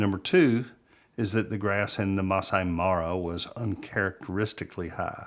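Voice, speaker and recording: A man with a Southern US accent speaks at a moderate pace in a fairly low pitch, his intonation fairly even, on a very clean recording with a silent background. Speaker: wildlife photographer, video creator. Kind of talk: gear review monologue. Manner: conversational.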